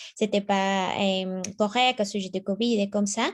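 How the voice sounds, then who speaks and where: In a medium pitch, a woman speaks with a Spanish accent. Her intonation stays monotone and flat. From Mexico. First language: Spanish (speaking French). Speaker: new committee member. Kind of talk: self-introduction at a meeting. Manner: halting.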